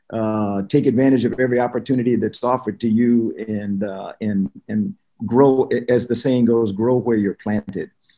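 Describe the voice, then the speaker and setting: A man speaks in a dark, mellow tone at a moderate pace, with ordinary pitch variation. The background is quiet. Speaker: webinar guest. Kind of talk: opening remarks, personal anecdote. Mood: warm, smiling. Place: home room. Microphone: video call.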